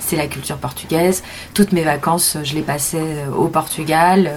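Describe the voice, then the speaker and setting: Background noise is noticeable. Intonation remains fairly even throughout. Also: woman. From Paris suburbs, France (Montreuil). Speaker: film director. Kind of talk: interview. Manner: halting.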